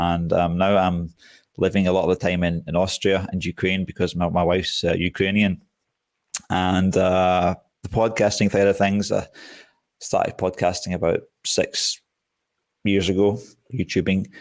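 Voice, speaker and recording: A man with a Scottish accent speaks at a moderate pace, his pitch very deep and low and his intonation monotone and flat, with long, frequent pauses. Loudness stays very even, and the recording is very clean with a silent background. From Scotland. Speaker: survival YouTuber. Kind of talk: podcast interview.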